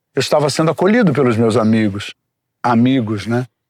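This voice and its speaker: A man's pitch swings very widely. The sound is dry and close, with no echo. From Brazil, Rio de Janeiro. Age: 60s. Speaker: recovering addict sharing his story. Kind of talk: testimony. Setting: outdoors in the forest.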